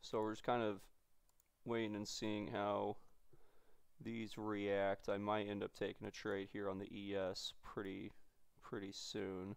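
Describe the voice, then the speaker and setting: Speaking slowly in a fairly low monotone, a man leaves long, frequent pauses against a quiet background. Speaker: day trader streamer. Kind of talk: commentary. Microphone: headset.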